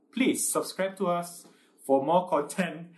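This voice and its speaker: A man speaks with lively intonation. His pitch is high. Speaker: podcast co-host. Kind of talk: casual chat. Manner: stutter; halting.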